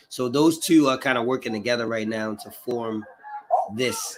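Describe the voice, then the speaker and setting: At a moderate pace, a man with a medium pitch talks over noticeable background noise. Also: long, frequent pauses, big swings in loudness. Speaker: livestream host reacting to protest footage. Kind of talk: casual live chat. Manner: halting, many fillers.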